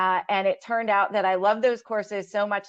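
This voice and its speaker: Against a quiet background, a voice with an Ohio accent moves at a fairly quick pace with ordinary pitch variation. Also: woman. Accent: Midwestern American (Ohio). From Ohio, west side of Cleveland. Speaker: scientist, career panelist. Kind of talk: webinar panel talk. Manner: casual, many filler words.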